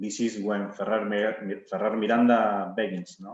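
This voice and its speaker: Speaking with monotone, flat intonation, a man keeps to a fairly low pitch. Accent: Argentine. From Argentina. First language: Spanish. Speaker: winemaker. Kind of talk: wine tasting presentation. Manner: halting, many fillers and repetitions.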